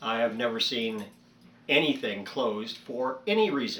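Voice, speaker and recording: Over noticeable background noise, a man talks at a fairly slow pace with lively intonation. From California. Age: 60s. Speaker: YouTuber, vlogger. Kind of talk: casual monologue rant. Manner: hesitant, many fillers.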